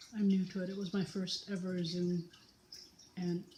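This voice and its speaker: A woman's voice has a dark, mellow tone and is somewhat breathy. Her intonation is monotone and flat over light background noise. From British Columbia, Canada. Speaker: knitting vlogger. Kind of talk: casual tutorial vlog. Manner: slow with long pauses; hesitant, filler words. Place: home room. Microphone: phone near.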